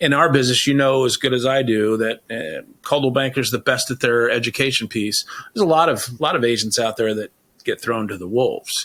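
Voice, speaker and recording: A man with a normal speaking voice and medium pitch talks at a fairly quick pace with ordinary pitch variation. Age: 60s. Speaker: real estate agent and podcast host. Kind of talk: interview. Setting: studio.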